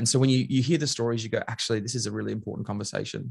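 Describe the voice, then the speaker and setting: A man with an Australian accent talks at medium pitch. His intonation stays fairly even. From Queensland, Australia. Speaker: leadership trainer and author. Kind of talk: casual chat.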